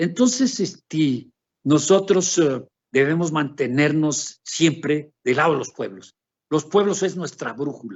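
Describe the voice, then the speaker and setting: A man with a fairly high pitch speaks at a very slow pace, his intonation lively. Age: 70s. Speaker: academic researcher. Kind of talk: conference Q&A answer. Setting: academic seminar. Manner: halting, many fillers and repetitions.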